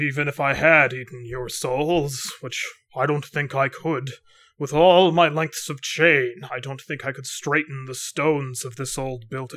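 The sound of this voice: A man puts on a booming character voice, fairly high in pitch, at a moderate pace. The recording is very clean, with a silent background.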